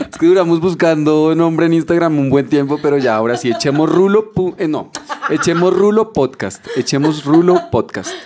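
Noticeable background noise sits behind a man's fairly high voice and animated tone. He keeps a moderate pace with ordinary pitch variation. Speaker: podcast co-host. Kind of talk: casual chat.

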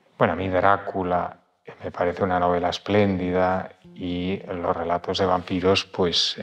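This man's voice is very deep and low, delivered in a monotone, flat intonation at a moderate pace. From Spain, Madrid. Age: 60s. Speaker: publisher and writer. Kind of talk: interview. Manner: halting.

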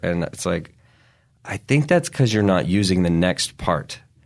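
A man speaks with a very deep, low voice. The background is quiet. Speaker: stand-up comedian. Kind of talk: casual chat.

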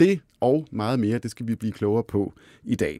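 A man speaks with a dark, mellow tone and lively intonation, recorded with a dry, close sound and no echo. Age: 40s. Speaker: podcast host, finance editor. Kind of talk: interview chat. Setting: studio.

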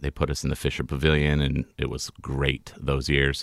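A man with an American accent has a bright, sharp tone. The sound is dry and close, with no echo. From California. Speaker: poster artist. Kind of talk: casual interview chat.

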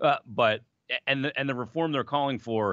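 A man with a plain, everyday voice talks at a fairly quick pace with ordinary pitch variation over a quiet background. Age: 40s. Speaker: hockey radio personality, former emergency goalie. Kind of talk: casual chat.

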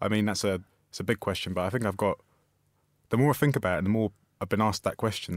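Very fast and fairly low-pitched, a man speaks with ordinary pitch variation. The recording is very clean, with a silent background and a dry, close sound free of echo. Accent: London. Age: 20s. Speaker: writer and journalist. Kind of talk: interview. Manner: halting.

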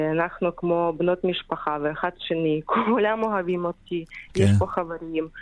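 A woman with a Ukrainian accent, fairly low in pitch, at a fairly slow pace. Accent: Ukrainian accent in Hebrew. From Ukraine. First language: Ukrainian or Russian (speaking Hebrew). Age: 30s. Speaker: caregiver for Holocaust survivors. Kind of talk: radio interview. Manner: halting non-native Hebrew.

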